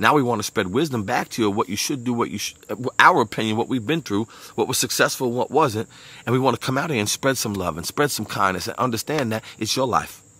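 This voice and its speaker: A man talks at a very fast pace with a Brooklyn accent, a bright, sharp tone, an animated delivery and ordinary pitch variation, in a dry sound with no echo. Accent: New York (Brooklyn). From Brooklyn, New York. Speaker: motivational speaker. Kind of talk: motivational monologue. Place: garden. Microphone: earbuds.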